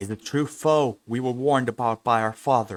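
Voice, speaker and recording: A man does a growling, put-on character voice at medium pitch. He keeps a moderate pace. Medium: read story.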